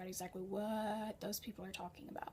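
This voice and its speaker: A woman with an American accent talks at a very fast pace in a fairly high, somewhat breathy voice. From United States. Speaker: freelance writer and translator. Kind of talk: tutorial. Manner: casual.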